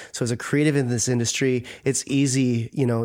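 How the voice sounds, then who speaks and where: A man speaks at medium pitch with a plain, everyday voice and fairly even intonation. His pace is moderate, and the recording is very clean with a silent background. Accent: American. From Minnesota, US. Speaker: wedding photographer. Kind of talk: casual interview. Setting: studio.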